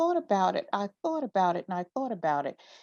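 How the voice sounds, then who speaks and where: Very wide pitch swings from a woman at medium pitch, with a dry, close sound and no echo. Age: 60s. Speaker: author. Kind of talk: interview. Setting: livestream. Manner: halting.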